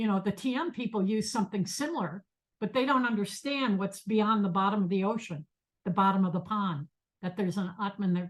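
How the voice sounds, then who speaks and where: Lively intonation runs through a somewhat breathy voice. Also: woman. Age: 70s. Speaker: meditation teacher and professor. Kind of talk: lecture. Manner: halting.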